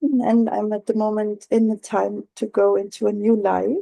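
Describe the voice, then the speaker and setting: A woman with a non-native accent has a fairly high pitch and a dark, mellow tone. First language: not English. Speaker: workshop participant. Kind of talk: group discussion. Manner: halting.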